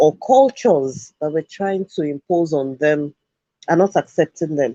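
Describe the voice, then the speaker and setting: At a fairly slow pace, a man with a Yoruba accent speaks at a fairly high pitch in a dark, mellow tone with ordinary pitch variation, the sound dry and close with no echo. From Nigeria (Yoruba). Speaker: education show host. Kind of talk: talk show commentary.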